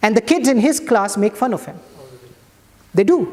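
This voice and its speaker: A man with a Pakistani accent speaks at an extremely high pitch and a moderate pace, his pitch swinging very widely. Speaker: imam. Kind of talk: sermon.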